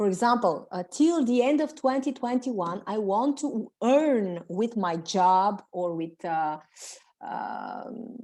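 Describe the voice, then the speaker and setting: A woman with a Bulgarian accent speaks at a fairly high pitch. Her tone is dark and mellow, with lively intonation. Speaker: self-development coach. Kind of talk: webinar coaching session. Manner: halting.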